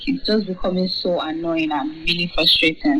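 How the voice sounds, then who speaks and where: Woman's medium-pitched voice against noticeable background noise. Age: 20s. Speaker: university student. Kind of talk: interview.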